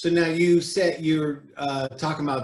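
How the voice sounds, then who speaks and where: A man's fairly high, somewhat breathy voice at a moderate pace, with fairly even intonation. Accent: American. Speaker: podcast host. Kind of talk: casual interview chat.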